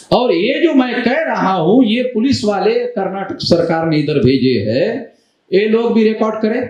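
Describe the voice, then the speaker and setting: A man talks in a high pitch with lively intonation. Room echo is audible. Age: 60s. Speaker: activist leader. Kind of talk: public speech.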